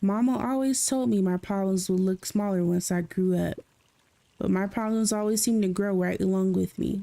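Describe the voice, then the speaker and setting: A female-sounding voice performs a put-on character voice at a moderate pace. It is gruff, with medium pitch. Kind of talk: muttering.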